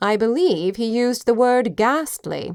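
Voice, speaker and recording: Using a put-on character voice, a woman speaks at a moderate pace with lively intonation and a fairly high pitch. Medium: read story.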